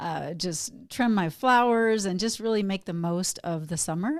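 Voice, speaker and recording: With an American accent, a woman uses an ordinary speaking voice at a moderate pace and ordinary pitch variation, on a very clean recording with a silent background. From Texas. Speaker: wellness coach and podcast co-host, guest. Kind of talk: casual interview chat.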